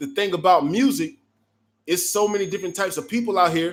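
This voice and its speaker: A loud, high-pitched male voice with ordinary pitch variation. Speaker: music producer and live-chat host. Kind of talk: live stream Q&A chat. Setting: online live stream. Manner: casual, filler-heavy.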